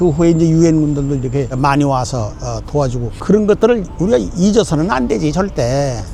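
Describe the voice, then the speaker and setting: The delivery is fairly quick, with lively intonation. Noticeable background noise and audible room echo are present. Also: man. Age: 90s. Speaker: war veteran and former minister. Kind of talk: on-location interview. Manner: emphatic.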